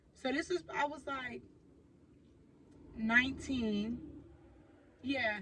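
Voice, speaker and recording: A woman's high-pitched, raised and projected voice at a very slow pace, with long, frequent pauses. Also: ordinary pitch variation. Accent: American. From Oakland, California. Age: 20s. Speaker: YouTuber. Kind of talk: storytime vlog. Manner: casual, conversational with fillers.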